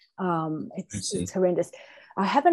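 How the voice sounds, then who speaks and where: A woman with an Australian accent, dark and mellow in tone, fairly low in pitch, with ordinary pitch variation at a moderate pace. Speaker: guest speaker. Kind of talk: casual chat.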